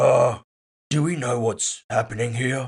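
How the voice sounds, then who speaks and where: A raspy, put-on character voice from a man, medium in pitch and fairly slow in pace. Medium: read story. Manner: casual, laid-back.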